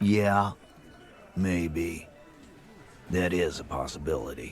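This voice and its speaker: In a put-on character voice, a man growls out gruff, very deep, low-pitched lines at a fairly slow pace amid clear background noise. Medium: video game. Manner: gruff and profane.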